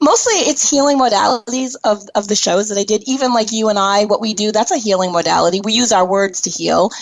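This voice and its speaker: A woman's fairly high voice with ordinary pitch variation, a very fast pace, hardly any pauses and very even loudness, over noticeable background noise. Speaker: internet radio talk show host. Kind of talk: casual chat. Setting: live internet radio show.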